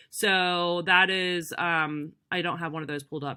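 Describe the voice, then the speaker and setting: A woman speaks at a fairly low pitch. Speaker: direct sales consultant giving tech tips. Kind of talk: screen-recorded tutorial. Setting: screen recording. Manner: fast; casual, many fillers.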